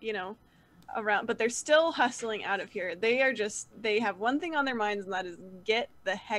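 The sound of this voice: The voice reads in an unforced way.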